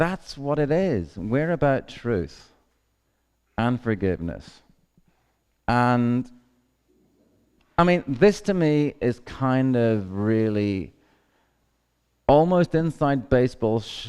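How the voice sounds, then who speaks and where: A man speaks very slowly in a Northern Irish accent, leaving long, frequent pauses. His pitch sits in the medium range but swings very widely. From Northern Ireland. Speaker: activist. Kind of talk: conference talk.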